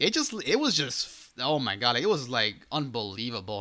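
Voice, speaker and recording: With an animated, bright, sharp tone, a man speaks at a moderate pace in a very clean recording with a silent background. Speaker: gaming YouTuber. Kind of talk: casual video commentary. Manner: stutters often.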